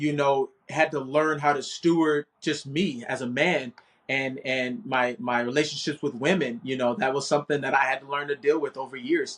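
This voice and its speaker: A man talks with a fairly high pitch. He speaks with hardly any pauses. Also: moderate pace. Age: 30s. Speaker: financial services agent and life coach. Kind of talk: casual chat. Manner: animated.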